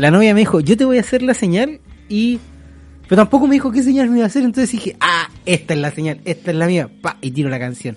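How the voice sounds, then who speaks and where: A man with a Chilean accent, high pitch, very wide pitch swings and a very fast pace. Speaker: podcast host. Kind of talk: casual chat.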